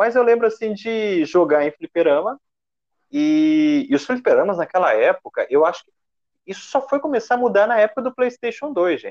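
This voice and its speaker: At a moderate pace, a man speaks in an extremely high pitch with very wide pitch swings. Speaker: podcast host. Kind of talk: casual chat.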